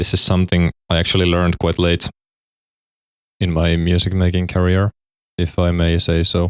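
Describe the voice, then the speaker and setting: A man speaks at a moderate pace with a very deep, low pitch, monotone and flat intonation, very even loudness and long, frequent pauses. The recording is very clean with a silent background and a dry, close sound with no echo. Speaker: music production tutorial creator. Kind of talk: tutorial. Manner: halting, self-correcting.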